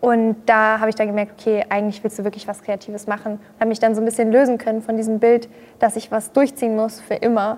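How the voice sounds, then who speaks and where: A woman speaks at a very fast pace. Her fairly high pitch stays monotone and flat. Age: 20s. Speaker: social media creator and yoga practitioner. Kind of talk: casual chat.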